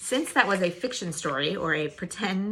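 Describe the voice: The delivery is plain reading aloud with lively intonation.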